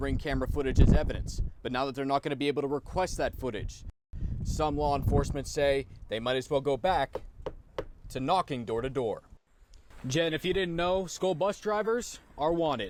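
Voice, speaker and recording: Here is a plain, everyday voice. It keeps a fairly quick pace, and its pitch varies in an ordinary way. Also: man, fairly high pitch for a man. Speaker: TV news reporter. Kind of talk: TV news report.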